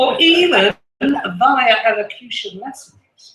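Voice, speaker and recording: A man with an English accent speaks in a raised, projected voice. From England. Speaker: storyteller. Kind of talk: storytelling performance.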